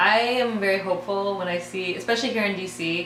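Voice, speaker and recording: Noticeable background noise sits behind a woman with an American accent who speaks at a medium pitch and a moderate pace. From United States. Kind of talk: interview answer.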